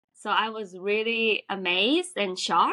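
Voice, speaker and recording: Speaking with a Japanese accent, a woman uses fairly even intonation at medium pitch, her tone bright and sharp. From Japan, Tokyo. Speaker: restaurant worker. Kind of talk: casual interview. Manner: halting.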